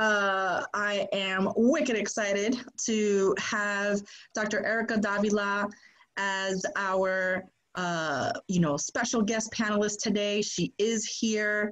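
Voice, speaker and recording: Speaking in an American accent at a medium pitch, a woman keeps a very slow pace, fairly even intonation and very even loudness. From Boston, Massachusetts. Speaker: podcast co-host, career services staff. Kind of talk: panel introduction.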